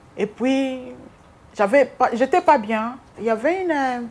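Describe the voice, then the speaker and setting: The woman speaking shows ordinary pitch variation. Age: 50s. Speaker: hospital cleaner. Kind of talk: interview testimony. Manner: halting.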